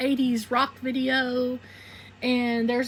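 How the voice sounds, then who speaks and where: With a Southern US accent, a woman speaks at a high pitch. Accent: Southern twang. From southeastern Arkansas (Phillips County). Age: 40s. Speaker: YouTuber. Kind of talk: personal testimony monologue. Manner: casual, conversational.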